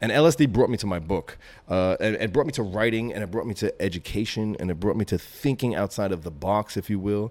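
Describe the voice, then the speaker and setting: Fairly low in pitch, a man with a New York accent talks at a very fast pace. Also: ordinary pitch variation, hardly any pauses. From Brooklyn, New York. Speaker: graffiti writer and author. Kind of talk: interview.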